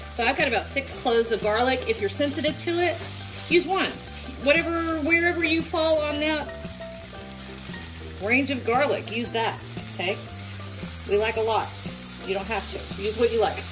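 Noticeable background noise surrounds a woman speaking at a moderate pace. She takes long, frequent pauses. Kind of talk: tutorial. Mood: warm, chatty, laughing. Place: kitchen. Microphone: phone near.

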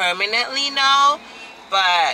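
Light noise can be heard in the background as a woman talks. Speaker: vlogger. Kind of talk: casual vlog chat. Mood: happy, enthusiastic. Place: car. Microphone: phone near.

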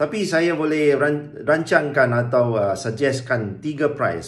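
His delivery is fairly slow, and his pitch moves in an ordinary way. The man's voice comes across as somewhat breathy. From Malaysia. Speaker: business coach. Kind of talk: tutorial. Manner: casual, halting with fillers. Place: home room. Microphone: phone near.

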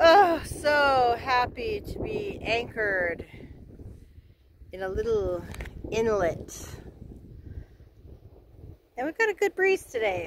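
Very slow speech with a dry sound, no echo, and noticeable background noise. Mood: happy, relaxed. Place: boat. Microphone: phone near.

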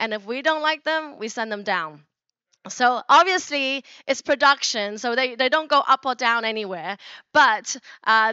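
In a dry recording with no echo and a quiet background, a woman with a high voice speaks at a fairly slow pace with ordinary pitch variation. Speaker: keynote speaker. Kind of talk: conference keynote talk. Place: stage. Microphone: handheld.

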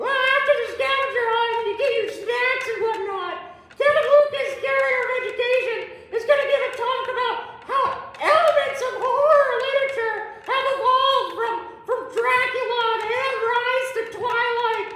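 In a squeaky, put-on character voice, a female-sounding speaker talks at a moderate pace and an extremely high pitch, with clear echo and clear background noise. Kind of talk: comic promo sketch. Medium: comedy sketch. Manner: chatty, folksy, rambling.

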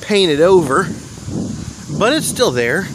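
Faint background noise sits behind a man's voice. His tone is fairly bright and his intonation lively.

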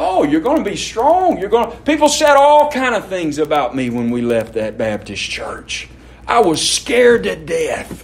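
At a moderate pace, a man with a Mississippi accent speaks amid audible room echo and noticeable background noise. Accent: Southern US (Mississippi). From Mississippi, US South. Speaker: pastor. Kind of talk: sermon.

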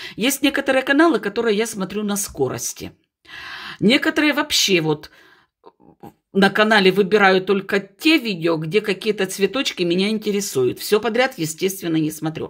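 Against a quiet background, a woman speaks in an animated tone with very wide pitch swings. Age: 50s. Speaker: houseplant video blogger; plant hobby blogger. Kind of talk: casual video blog tutorial. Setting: at home by a window. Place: home room. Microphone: phone near.

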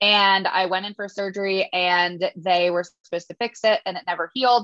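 A woman at a moderate pace with ordinary pitch variation, dry sound with no echo, and music in the background. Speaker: podcast guest. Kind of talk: interview answer. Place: home room. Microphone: video call.

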